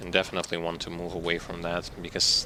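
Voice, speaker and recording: Noticeable background noise sits behind a man with a very deep, low pitch. He speaks at a moderate pace with a non-native accent. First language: not English. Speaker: gaming streamer. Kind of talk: live gameplay commentary. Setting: live stream. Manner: halting, self-correcting.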